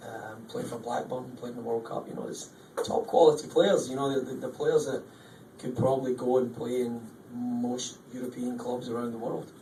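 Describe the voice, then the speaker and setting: In a Scottish accent, the speaker talks at a moderate pace in a flat monotone, loudness swinging widely, with audible room echo and noticeable background noise. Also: man, medium pitch for a man. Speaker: football coach. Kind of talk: press conference. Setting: post-match press conference. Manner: hesitant, with frequent ums and repeats.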